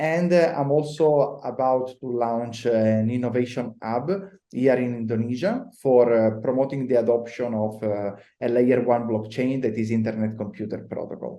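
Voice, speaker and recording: A man with an Italian accent speaks in a dark, mellow tone at medium pitch. He keeps a moderate pace with ordinary pitch variation. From Italy. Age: 30s. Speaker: blockchain consultant. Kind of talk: podcast interview.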